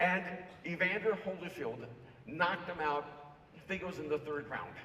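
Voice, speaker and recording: Through noticeable background noise, a man talks in a high pitch. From El Salvador. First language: Spanish. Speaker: author and speaker. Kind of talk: keynote talk.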